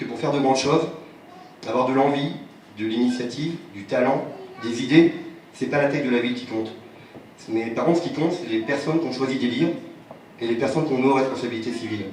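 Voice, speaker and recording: A man at medium pitch talks at a fairly quick pace with long, frequent pauses and ordinary pitch variation, amid audible room echo and noticeable background noise. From Provence, France (Apt). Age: 30s. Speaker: local election candidate. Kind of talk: campaign speech. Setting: public meeting.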